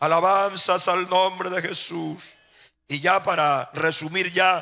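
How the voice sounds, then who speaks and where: A man with a high pitch speaks at a very slow pace in a monotone, flat intonation, his tone bright and sharp. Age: 60s. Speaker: pastor. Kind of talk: sermon.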